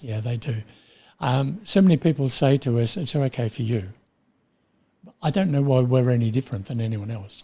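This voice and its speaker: A man with an Australian accent speaks at a moderate pace and medium pitch, somewhat breathy and dark, mellow in tone, with ordinary pitch variation and long, frequent pauses. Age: 80s+. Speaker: retired printer. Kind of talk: interview answer.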